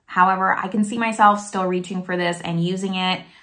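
This woman's fairly low pitch carries a bright, sharp tone and fairly even intonation, with an American accent. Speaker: beauty YouTuber. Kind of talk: product review video. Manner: casual, chatty. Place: home room. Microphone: phone near.

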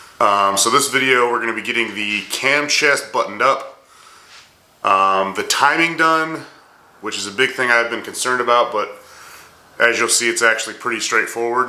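Audible room echo surrounds a man who speaks with ordinary pitch variation and long, frequent pauses. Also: moderate pace. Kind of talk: casual vlog chat.

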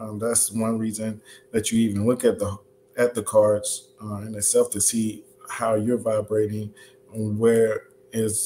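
A man at a fairly slow pace in monotone, flat intonation, over light background noise. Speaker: livestream host. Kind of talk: lecture. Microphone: webcam.

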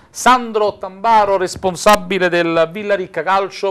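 In a high pitch, a man talks at a fairly slow pace with ordinary pitch variation against a quiet background. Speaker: sports TV host. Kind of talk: live TV sports talk show. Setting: TV studio. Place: studio. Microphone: lapel.

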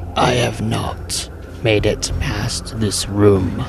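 Over loud background noise, a man in a put-on character voice talks raspily at a very slow pace.

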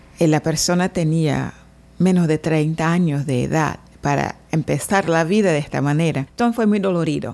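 A woman speaks at a moderate pace with very even loudness. Her pitch is very deep and low, with a dark, mellow tone. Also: ordinary pitch variation. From Brazil, Salvador, Bahia. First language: Portuguese (speaking Spanish). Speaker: translator and interpreter. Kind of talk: interview. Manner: halting.

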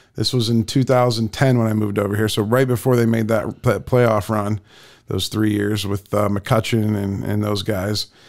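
This man speaks with an American accent. His fairly low voice stays monotone and flat. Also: moderate pace, quiet background. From Canton, Ohio, US; Ohio. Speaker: podcast host. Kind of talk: casual interview. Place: studio. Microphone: studio mic.

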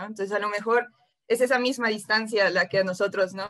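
Over a quiet background, a woman speaks at a very fast pace. Her pitch is fairly high and her intonation fairly even. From Mexico. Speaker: interviewer, writer; interviewer. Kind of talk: interview. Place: home room. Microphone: video call.

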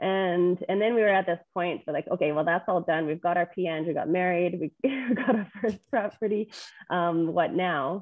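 Someone with a Canadian accent talks at a moderate pace with ordinary pitch variation. The sound is dry with no echo, over a quiet background. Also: woman, fairly low pitch for a woman. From Edmonton, Alberta, Canada. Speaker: real estate investor; podcast guest. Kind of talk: podcast interview. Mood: friendly, smiling. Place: home room. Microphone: video call.

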